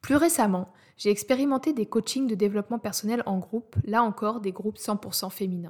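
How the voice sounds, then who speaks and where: The voice is somewhat breathy, with ordinary pitch variation. The pace is fairly quick. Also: woman, fairly high pitch for a woman. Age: 30s. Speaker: podcast host, audio content specialist. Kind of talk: scripted monologue introducing podcast.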